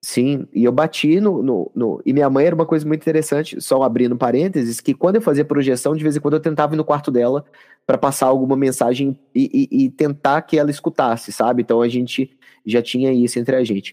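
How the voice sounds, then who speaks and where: A dark, mellow tone comes through a dry, close sound with no echo. The pace is fairly quick, with ordinary pitch variation and very even loudness. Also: man, fairly high pitch for a man. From Minas Gerais, Brazil. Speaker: psychologist. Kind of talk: interview. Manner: halting.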